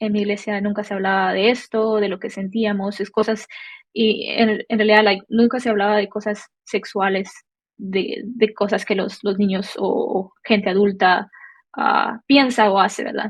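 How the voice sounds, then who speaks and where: A woman with a medium pitch and a somewhat breathy voice speaks at a fairly slow pace in a monotone, flat intonation. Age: 20s. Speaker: church member sharing testimony. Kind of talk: testimony. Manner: halting, many fillers.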